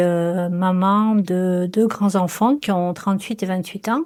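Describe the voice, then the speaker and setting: A woman with a medium-pitched voice keeps her intonation fairly even, heard in a very clean recording with a silent background. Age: 60s. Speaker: cancer patient. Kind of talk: testimony. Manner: halting.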